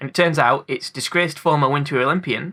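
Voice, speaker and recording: This bright, sharp voice has a British accent and ordinary pitch variation. It moves at a very fast pace. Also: man. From UK. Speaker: film review YouTuber. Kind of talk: film commentary video essay. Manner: casual, jokey.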